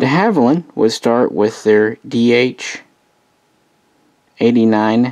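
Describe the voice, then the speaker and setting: A man speaks fairly slowly, and the background stays quiet. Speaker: hobbyist model reviewer. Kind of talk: casual review commentary. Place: home room. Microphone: phone near.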